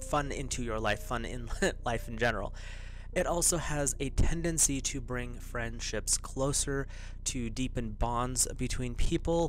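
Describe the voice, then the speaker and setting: Recorded with a dry, echo-free sound and light background noise, a man talks at a fairly slow pace. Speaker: tarot host. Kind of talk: casual spiritual talk to viewers. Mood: calm, lightly amused. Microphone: studio mic.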